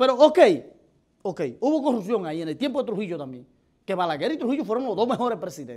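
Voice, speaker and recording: Against a quiet background, a man with a Dominican accent talks in a high pitch with very wide pitch swings. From Dominican Republic. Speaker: political commentator. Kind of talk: opinion commentary. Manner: animated. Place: studio. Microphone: lapel.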